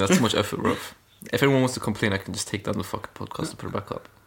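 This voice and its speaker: Speaking at a very fast pace with lively intonation, a man of medium pitch is heard over noticeable background noise. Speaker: podcast host. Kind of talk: casual chat. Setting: at friend's house, recording. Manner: casual, joking.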